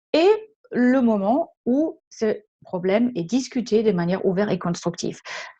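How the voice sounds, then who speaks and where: Very slowly and somewhat breathily, a woman with a slight German accent speaks in a fairly high pitch with a dark, mellow tone and lively intonation. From Germany. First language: German (speaking French). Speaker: leadership trainer and consultant. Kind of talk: webinar presentation. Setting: online webinar. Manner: hesitant, many filler sounds.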